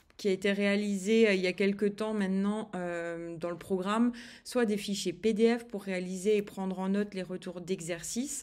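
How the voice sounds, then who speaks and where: Medium-pitched female voice, its intonation fairly even. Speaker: eating behaviour coach. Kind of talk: online course video. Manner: slow, soft-spoken; halting, many hesitations.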